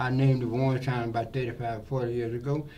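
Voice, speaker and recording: A man speaks at medium pitch with monotone, flat intonation. His pace is fairly quick, and the room echo is audible. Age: 80s+. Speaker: barber. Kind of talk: interview. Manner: halting.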